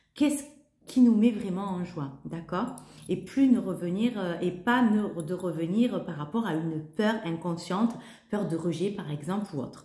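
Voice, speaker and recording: Speaking at a fairly slow pace, a woman with a medium pitch uses lively intonation and big swings in loudness, with audible room echo around her. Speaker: holistic coach and yoga teacher. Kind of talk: spiritual talk to camera. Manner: halting, many hesitations.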